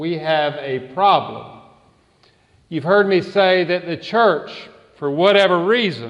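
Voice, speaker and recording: A man with a Southern US accent speaks very slowly. His pitch is high, with ordinary variation. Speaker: pastor. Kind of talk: sermon. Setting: church.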